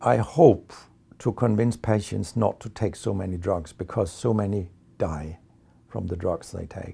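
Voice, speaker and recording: Against a quiet background, a man with a Danish accent speaks at a fairly slow pace in a fairly low, dark and mellow voice with vocal fry and lively intonation. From Denmark. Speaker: medical researcher and professor. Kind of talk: interview monologue. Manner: hesitant fillers.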